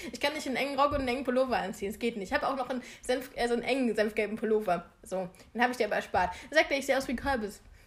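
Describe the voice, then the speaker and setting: At a very fast pace, a woman talks in a high pitch with ordinary pitch variation. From eastern Germany. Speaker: podcast co-host. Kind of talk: casual chat. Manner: laughing often.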